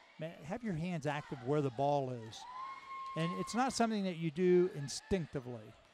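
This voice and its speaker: Amid noticeable background noise, a man with a fairly high pitch speaks at a moderate pace with lively intonation, the sound dry with no echo. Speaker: color commentator. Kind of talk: live basketball color commentary, analytical and conversational; sports commentary. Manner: relaxed, coach-like, halting with filler words. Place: hall.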